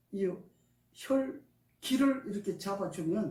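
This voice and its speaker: Audible room echo is present. The delivery is very slow. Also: man. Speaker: alternative healing practitioner. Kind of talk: testimony.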